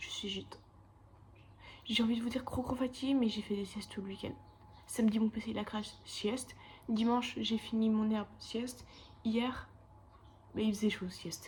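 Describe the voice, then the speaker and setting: A woman's fairly high voice with monotone, flat intonation, at a moderate pace with long, frequent pauses. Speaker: animation student vlogger. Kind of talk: casual vlog. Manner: casual, chatty.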